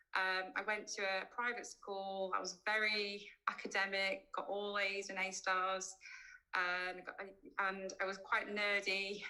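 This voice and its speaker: A woman with a Yorkshire accent speaks fairly slowly in a medium pitch, her tone bright and sharp and her intonation monotone and flat. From West Yorkshire, England (Keighley). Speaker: cosmetic dentist. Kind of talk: online presentation. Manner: hesitant, many fillers.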